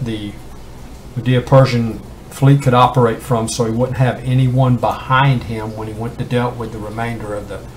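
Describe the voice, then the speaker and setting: Over noticeable background noise, a man talks at a moderate pace in a monotone, flat intonation at medium pitch. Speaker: independent Bible teacher. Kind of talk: Bible study talk. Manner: halting, many fillers.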